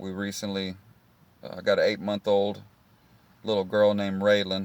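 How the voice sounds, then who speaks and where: A man with a Texan accent speaks in a relaxed tone at a moderate pace. His pitch is fairly low and his intonation fairly even. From Texas, Houston area. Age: 30s. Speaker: vlogger. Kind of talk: casual vlog monologue.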